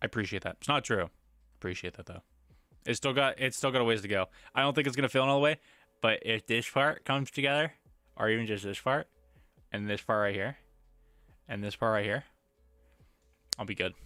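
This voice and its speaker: Over background music, a man with a medium-pitched voice and ordinary pitch variation talks at a very fast pace with long, frequent pauses, the sound dry and close with no echo. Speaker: live streamer. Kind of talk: casual livestream chat. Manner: lower energy, subdued.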